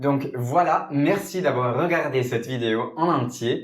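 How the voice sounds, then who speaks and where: A man talks with ordinary pitch variation, and audible room echo follows his voice. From Italy. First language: Italian (speaking Portuguese). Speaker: polyglot YouTuber. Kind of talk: scripted multilingual vlog.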